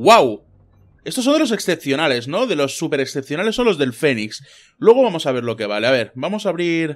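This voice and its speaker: A very clean recording with a silent background, its voice swinging very widely in pitch. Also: man. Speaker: gaming youtuber. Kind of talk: gameplay commentary. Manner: animated.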